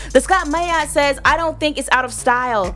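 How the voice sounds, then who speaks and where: Moderate-paced speech from a woman, music behind her. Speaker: radio host. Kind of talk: radio dj patter, upbeat show banter. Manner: animated, warm, playful.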